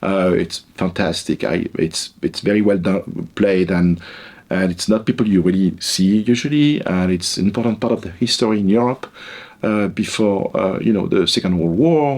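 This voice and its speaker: Speaking at a moderate pace with a French accent, a man uses a fairly low pitch and ordinary pitch variation. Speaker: psychology professor. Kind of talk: interview. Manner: hesitant, with fillers and repetitions.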